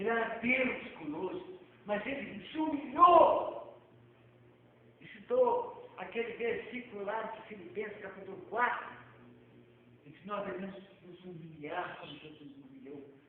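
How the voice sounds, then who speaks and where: A man's high voice at a fairly slow pace, with very wide pitch swings, big swings in loudness and long, frequent pauses, plus audible room echo and noticeable background noise. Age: 70s. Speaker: evangelist preacher. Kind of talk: sermon.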